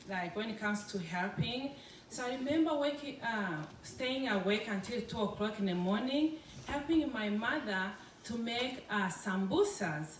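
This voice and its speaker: With audible room echo and noticeable background noise, a woman speaks at a moderate pace in a fairly high pitch with lively intonation. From Congo. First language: French. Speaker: food business owner. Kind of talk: public talk. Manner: halting.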